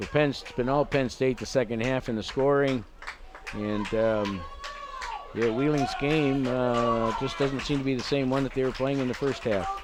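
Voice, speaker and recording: A man at a medium pitch, moderate pace and fairly even intonation, with noticeable background noise. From Canada. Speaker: rugby color commentator. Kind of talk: live sports commentary.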